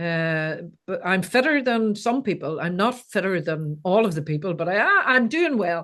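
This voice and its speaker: With an Irish accent, a woman speaks at a medium pitch and a moderate pace. Her intonation is lively, with hardly any pauses. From Ireland. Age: 60s. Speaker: life coach. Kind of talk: casual interview chat.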